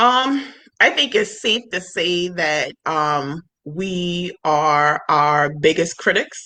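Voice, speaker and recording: Loud and with lively intonation, a woman speaks at a very slow pace. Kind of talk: casual interview chat. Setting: livestream video.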